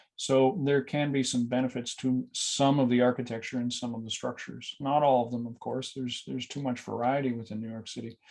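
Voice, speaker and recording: Over a quiet background, a man with a Canadian accent speaks at medium pitch in a flat, monotone way. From Canada. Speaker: building energy consultant. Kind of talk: webinar presentation. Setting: online webinar. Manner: hesitant, many fillers.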